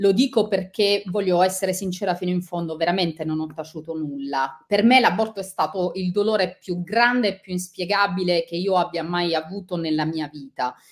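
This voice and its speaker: A woman talks at a moderate pace with ordinary pitch variation and hardly any pauses. The background is quiet. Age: 40s. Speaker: author and journalist; journalist. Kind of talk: interview; interview answer. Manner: halting. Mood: sincere, personal, reflective. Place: home room.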